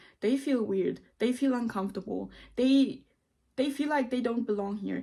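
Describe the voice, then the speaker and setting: A woman is talking. Her pitch shows ordinary variation. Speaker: video blogger giving self-help advice. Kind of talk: casual talk to camera. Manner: loud and bold; halting, with many fillers.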